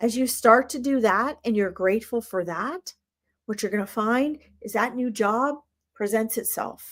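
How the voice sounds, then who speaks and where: A woman with an American accent uses a normal speaking voice, fairly high pitch and ordinary pitch variation in a very clean recording with a silent background. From United States. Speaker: spiritual reader and live stream host. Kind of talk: live stream reading and spiritual teaching. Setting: live stream.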